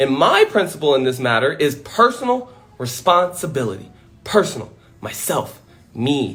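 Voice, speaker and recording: Loud and animated, a man speaks at a moderate pace in a fairly high pitch that swings very widely. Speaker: motivational speaker. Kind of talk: livestream monologue.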